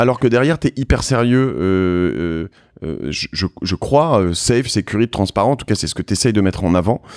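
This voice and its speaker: A man with a fairly low voice speaks at a moderate pace, his intonation lively. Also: dry, close sound with no echo. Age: 40s. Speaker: podcast host. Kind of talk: casual interview. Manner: hesitant, many fillers.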